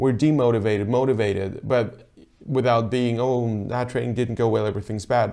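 With a dark, mellow tone and ordinary pitch variation, a man speaks at a moderate pace over a quiet background. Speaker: rowing coach. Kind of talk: tutorial. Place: office. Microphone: lapel.

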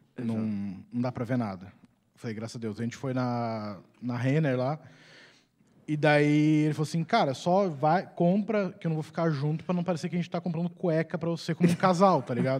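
A man speaks at a fairly high pitch with lively intonation. His pace is fairly quick. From Curitiba, southern Brazil; Paraná, Brazil. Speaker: comedian. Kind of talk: comic storytelling. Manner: energetic, animated. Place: stage. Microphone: handheld.

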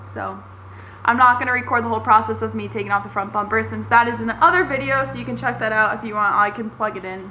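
Over light background noise, a woman talks at a very fast pace with big swings in loudness. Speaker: car DIY vlogger. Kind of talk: casual vlog chat. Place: garage. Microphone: phone near.

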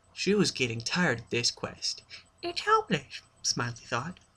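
At a moderate pace, a man talks with a bright, sharp tone. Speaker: storyteller. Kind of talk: reading a story aloud. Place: home room. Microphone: webcam.

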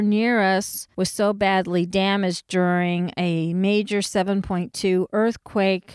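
Recorded very cleanly with a silent background and a dry, close sound with no echo, a woman with an American accent speaks at a medium pitch. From California. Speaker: herbalist podcast host. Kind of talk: solo educational podcast.

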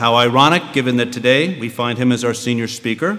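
A man's fairly quick, medium-pitched voice, fairly bright in tone, with ordinary pitch variation

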